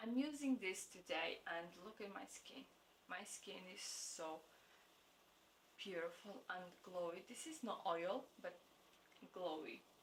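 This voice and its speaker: A woman with a non-native accent speaks at a very slow pace with lively intonation. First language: not English. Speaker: beauty vlogger. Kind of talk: product review vlog. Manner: halting; enthusiastic.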